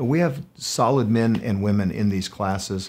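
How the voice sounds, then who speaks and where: There is light background noise behind a man whose voice sits fairly low. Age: 50s. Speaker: pastor and college president hosting podcast. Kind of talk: casual chat. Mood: earnest, passionate. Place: studio.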